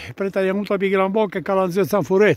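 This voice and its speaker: A man with a high-pitched voice is recorded with a dry sound and no echo. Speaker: solo hiker filming. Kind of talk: casual talk while hiking outdoors. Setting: outdoors. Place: open country. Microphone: phone near.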